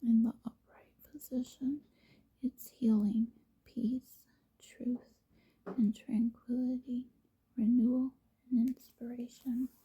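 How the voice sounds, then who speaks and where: Quiet whispering comes at a very slow pace, broken by long, frequent pauses. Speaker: tarot reader and hobby vlogger. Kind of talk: tarot reading with read-out card meanings. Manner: whispering, quiet.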